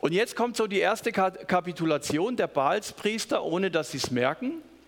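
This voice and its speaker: A man's high voice, animated and warm in tone, with very wide pitch swings, a moderate pace and noticeable background noise. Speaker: preacher. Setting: church.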